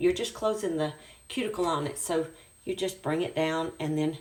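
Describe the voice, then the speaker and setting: A woman talks in a normal speaking voice at a moderate pace with ordinary pitch variation. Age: 60s. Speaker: ministry leader doing a hair tutorial. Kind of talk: tutorial.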